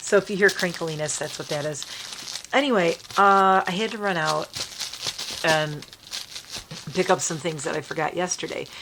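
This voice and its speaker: Over noticeable background noise, a woman with a fairly low pitch and ordinary pitch variation speaks with long, frequent pauses. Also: moderate pace. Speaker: lifestyle and makeup vlogger. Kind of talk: casual vlog chat.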